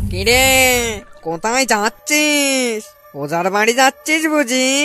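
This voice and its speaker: A cartoonish character voice, fairly high in pitch and very slow, with faint music in the background. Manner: menacing, mocking, cackling.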